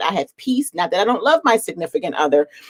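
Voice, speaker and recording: A woman with a slight Philadelphia accent talks at a very fast pace with ordinary pitch variation, the sound dry and close with no echo. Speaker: reseller, channel host. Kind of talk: casual chat. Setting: live stream video call.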